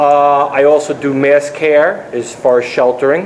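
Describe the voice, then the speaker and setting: Noticeable background noise runs beneath a man's speech. His pitch sits fairly high, with fairly even intonation. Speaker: Red Cross disaster volunteer. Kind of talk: panel presentation. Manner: loud. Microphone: speaking without microphone.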